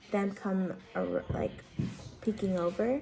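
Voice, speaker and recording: A woman is whispering at a fairly slow pace. Noticeable background noise can be heard. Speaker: vlogger. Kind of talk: casual vlog chat. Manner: normally loud.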